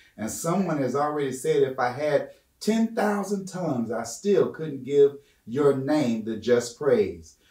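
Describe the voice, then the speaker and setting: A man speaks with very wide pitch swings. There is audible room echo against a quiet background. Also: fairly slow pace. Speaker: guest Bible study teacher. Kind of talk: prayer. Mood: fervent, earnest. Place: church.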